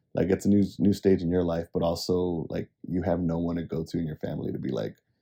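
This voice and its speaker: A man's very deep, low pitch, dark and mellow tone, ordinary pitch variation, very fast pace. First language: Spanish. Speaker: podcast co-host. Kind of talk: casual chat.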